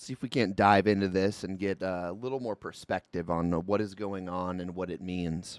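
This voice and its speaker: In a dry, close sound with no echo, a man with a very deep, low pitch speaks with fairly even intonation and big swings in loudness. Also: fairly quick pace, hardly any pauses, very clean recording, silent background. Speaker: livestream political commentary host. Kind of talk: live stream commentary. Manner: casual, conversational.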